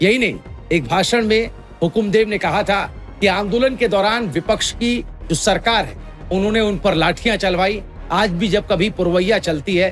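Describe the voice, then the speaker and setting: A man's voice, high in pitch with ordinary pitch variation, plays against music in the background. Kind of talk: news voice-over narration.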